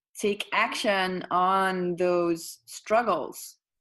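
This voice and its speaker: A woman with a Dutch accent speaks at a very slow pace in a bright, sharp tone. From Netherlands. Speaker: yoga teacher and coach. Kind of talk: podcast interview. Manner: halting, searches for words.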